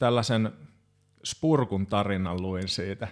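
A man keeps his intonation fairly even, and the recording is very clean with a silent background. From Finland, Hamina (Kymenlaakso). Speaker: progressive metal drummer. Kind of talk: casual chat.

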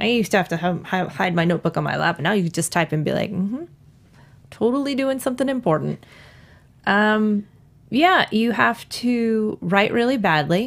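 This woman has a plain, everyday voice, medium pitch and an American accent. Her intonation is lively at a moderate pace, on a very clean recording with a silent background. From New York. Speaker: author. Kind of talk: interview. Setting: studio.

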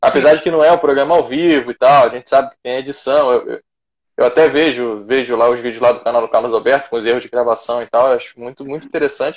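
His intonation is fairly even. The man speaks at a very fast pace. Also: medium pitch for a man. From Rio de Janeiro (Vila Isabel). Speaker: martial arts instructor. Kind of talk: casual interview chat.

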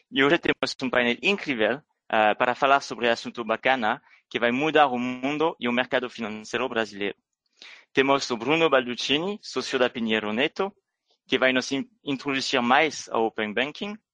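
In a Rio de Janeiro accent, a man with a medium pitch and a bright, sharp tone is heard in dry, close sound with no echo against a quiet background. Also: ordinary pitch variation, moderate pace. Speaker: business developer, event opener. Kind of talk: scripted introduction.

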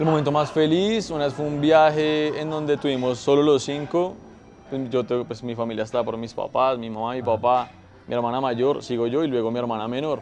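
A man with ordinary pitch variation talks at a fairly quick pace while noticeable background noise plays behind. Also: medium pitch for a man. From Colombia, Tolima. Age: 20s. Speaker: environmental engineer in family business. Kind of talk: casual chat.

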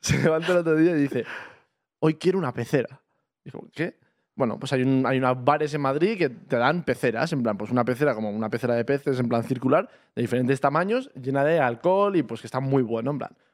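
Medium in pitch, a man's voice shows ordinary variation. He speaks very fast. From Almería, Spain. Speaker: podcast co-host. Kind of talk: casual chat.

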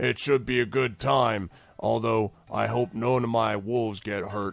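This put-on character voice carries a menacing tone. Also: man, medium pitch for a man, moderate pace. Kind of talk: comic roleplay voice. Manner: slow-witted, chatty, casually menacing.

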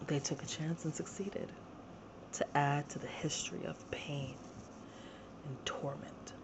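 A woman whispering, with long, frequent pauses and noticeable background noise. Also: fairly slow pace. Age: 40s. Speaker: podcast host, abuse survivor. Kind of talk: personal testimony monologue.

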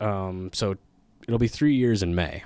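A man with an Upper Midwest accent speaks at a moderate pace. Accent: Upper Midwest American. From Minnesota, Twin Cities area. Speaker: stand-up comedian. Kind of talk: casual chat.

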